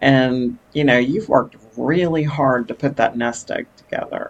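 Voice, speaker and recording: A woman with an American accent speaks at a very deep, low pitch. Her pace is fairly slow, and her pitch variation is ordinary. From Texas. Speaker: digital marketing business owner. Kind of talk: interview.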